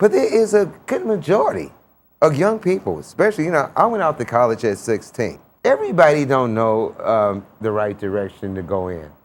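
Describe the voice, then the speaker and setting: A man talks at a fairly quick pace with a fairly high pitch and very wide pitch swings. The recording is very clean, with a silent background. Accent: American. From Chicago. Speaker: TV talk show host. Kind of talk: interview.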